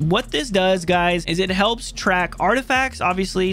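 Over faint background music, a man talks at a moderate pace with a dry sound that has no echo. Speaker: game streamer. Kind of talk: gaming tutorial commentary. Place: home room. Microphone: headset.

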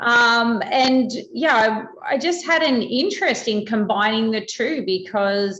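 Very slow pace from a woman with fairly high pitch and lively intonation, hardly any pauses, audible room echo and a quiet background. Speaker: metabolism researcher. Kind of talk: expert interview. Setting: video call. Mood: engaged, explanatory. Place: home room. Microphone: video call.

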